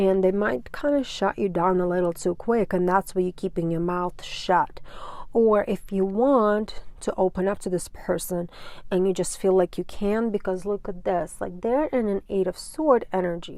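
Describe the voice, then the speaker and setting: This woman speaks at a moderate pace with a non-native accent, her medium-pitched voice dark and mellow in tone. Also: ordinary pitch variation. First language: not English. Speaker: tarot reader. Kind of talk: tarot reading. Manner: casual, filler-heavy.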